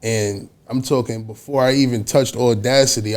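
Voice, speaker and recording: This man's voice sits at a medium pitch with ordinary pitch variation. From New York, Westchester. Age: 20s. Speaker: rapper. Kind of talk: casual interview.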